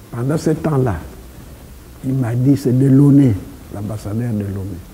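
Medium in pitch and dark, mellow in tone, a man's voice moves at a moderate pace with ordinary pitch variation.

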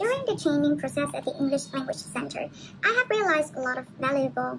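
A woman at a very fast pace amid noticeable background noise. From Vietnam. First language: Vietnamese. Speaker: university student. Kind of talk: presentation. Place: home room. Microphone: webcam.

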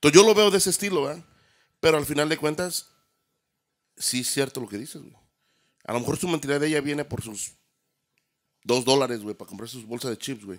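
In a quiet background, a man with a fairly high pitch talks at a very fast pace with lively intonation, big swings in loudness, and long, frequent pauses. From Mexico, San Luis Potosí. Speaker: DJ and audio production business owner. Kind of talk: casual chat. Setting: studio. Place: studio. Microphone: studio mic.

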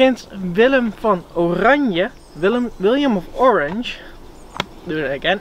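Speaking at a fairly slow pace with long, frequent pauses and very wide pitch swings, a woman comes through with a dry sound, no echo and light background noise. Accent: Dutch. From Netherlands. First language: Dutch. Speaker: educational YouTuber. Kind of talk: educational video presentation. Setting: outdoors. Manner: casual, laughing. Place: forest. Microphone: camera far.

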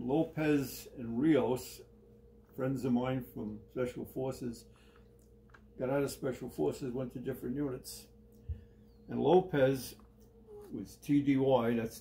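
A man talks at a medium pitch with music behind him. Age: 80s. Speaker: retired army sergeant major and collector. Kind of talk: personal storytelling in an interview. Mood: relaxed, reminiscing. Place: home room. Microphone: phone near.

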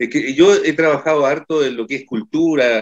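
A man's voice over background music. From Copiapó, northern Chile. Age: 60s. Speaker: musician and council candidate. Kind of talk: political candidate interview. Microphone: video call.

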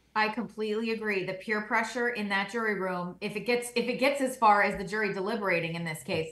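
A woman with an American accent speaks at a fairly quick pace in a bright, sharp tone, with ordinary pitch variation and audible room echo. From New Jersey. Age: young. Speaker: attorney and legal analyst. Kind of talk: panel discussion. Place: home room.

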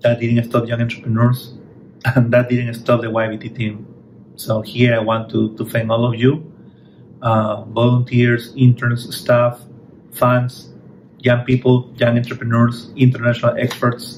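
Light background noise sits behind a man's voice. He speaks at a fairly slow pace with monotone, flat intonation. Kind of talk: welcome speech. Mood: grateful, warm. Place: office. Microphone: phone near.

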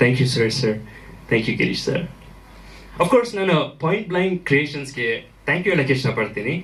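A man's fairly high-pitched voice with very wide pitch swings. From Germany. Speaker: actor and producer of music video. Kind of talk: speech at press event, mixing Kannada and English.

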